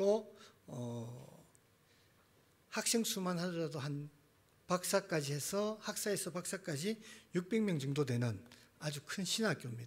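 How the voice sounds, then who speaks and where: In a strong Gyeongsang accent, a man speaks at a very slow pace with a high pitch and lively intonation. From Gyeongsang, South Korea. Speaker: missionary, seminary teacher. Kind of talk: sermon. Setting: church.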